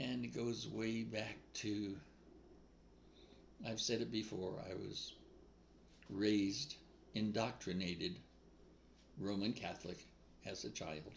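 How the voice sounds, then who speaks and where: In a room with audible echo, a man with an American accent speaks at a very slow pace with long, frequent pauses. His pitch is fairly low and its variation ordinary. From New England, US. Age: 80s+. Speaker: spiritual speaker. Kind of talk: casual spiritual monologue. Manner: informal, off the cuff.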